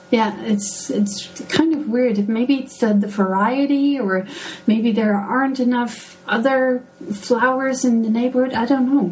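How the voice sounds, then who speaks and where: With music in the background and audible room echo, a woman with a fairly high pitch speaks at a fairly slow pace with ordinary pitch variation. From Netherlands, Delft. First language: Dutch. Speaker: gardening blogger. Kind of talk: podcast interview. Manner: hesitant, many fillers.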